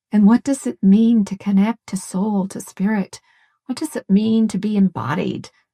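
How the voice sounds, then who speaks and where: Speaking at a fairly slow pace, a woman has a medium-pitched, dark, mellow voice that is somewhat breathy. Her intonation is fairly even, and the sound is dry and close with no echo. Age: 70s. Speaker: family consultant and coach. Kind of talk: interview conversation.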